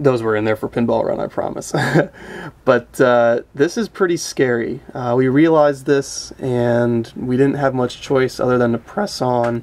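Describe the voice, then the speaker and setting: Here a man talks at a fairly slow pace with ordinary pitch variation. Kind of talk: casual show-and-tell commentary. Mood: amused, slightly rueful. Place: home room. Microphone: phone near.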